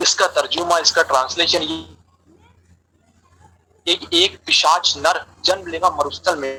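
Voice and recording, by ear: A man's fairly high voice with a slightly husky edge and a bright, sharp tone, fairly even in intonation and fairly slow in pace.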